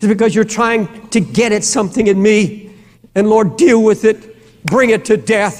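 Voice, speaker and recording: A man with an American accent talks at a moderate pace in a high pitch with ordinary pitch variation. His loudness stays very even. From United States. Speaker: preacher, pastor. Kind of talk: sermon, preaching to a congregation. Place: church. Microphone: lapel.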